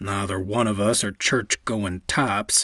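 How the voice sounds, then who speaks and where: Putting on a growling character voice, a man speaks at a moderate pace with a fairly low pitch and fairly even intonation, the sound dry and close with no echo. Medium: read story.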